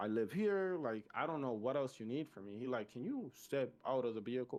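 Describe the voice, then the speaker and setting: With a Spanish accent, a man speaks at a medium pitch and a moderate pace. His intonation is lively. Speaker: podcast host. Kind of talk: casual chat. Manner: animated.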